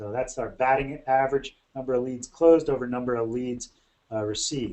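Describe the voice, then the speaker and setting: Here a man speaks at a medium pitch. His pace is fairly quick and his intonation fairly even. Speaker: bookkeeping consultant for lawn care companies. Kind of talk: webinar presentation. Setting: webinar. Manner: fast.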